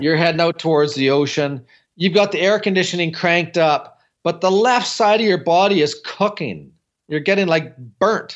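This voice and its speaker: With a Canadian accent, a man speaks at a high pitch with ordinary pitch variation and very even loudness. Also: moderate pace. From Canada. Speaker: building science consultant. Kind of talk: interview.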